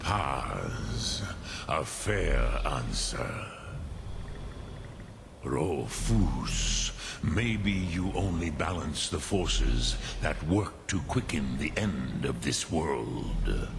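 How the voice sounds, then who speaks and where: Against loud background noise, a man in a put-on character voice speaks very slowly with a very deep, low pitch. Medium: video game. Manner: slow, ponderous, peppered with dragon-tongue words.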